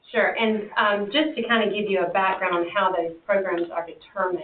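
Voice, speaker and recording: Over noticeable background noise, a woman with an American accent talks at a fairly quick pace. Her voice is medium in pitch with ordinary pitch variation. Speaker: extension agent presenting to county board. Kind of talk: presentation at public meeting. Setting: county commission meeting.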